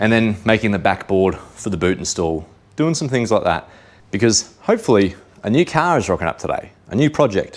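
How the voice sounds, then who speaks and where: On a very clean recording with a silent background, a man with an Australian accent talks fairly quickly at a medium pitch, his pitch swinging very widely. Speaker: car enthusiast vlogger. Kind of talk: casual vlog narration. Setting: in a car with windows down.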